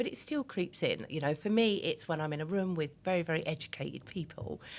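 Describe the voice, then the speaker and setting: A woman speaks in an East London accent at a fairly quick pace. Her voice is very deep and low, with ordinary pitch variation. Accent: East End London, somewhat refined. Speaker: businesswoman and public speaker. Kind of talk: podcast interview. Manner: conversational, uses many fillers.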